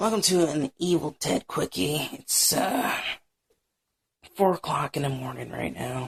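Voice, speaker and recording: Using a raspy, put-on character voice, a man speaks at a fairly high pitch and a moderate pace, with long, frequent pauses. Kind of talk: casual, confiding.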